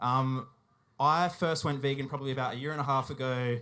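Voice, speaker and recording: On a very clean recording with a silent background, a man with an Australian accent speaks at a fairly quick pace, medium pitch, and a bright, sharp tone in a monotone, flat intonation. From South Australia, Whyalla. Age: 20s. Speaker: animal rights activist. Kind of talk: public talk at a festival. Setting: stage with audience. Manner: hesitant, many fillers.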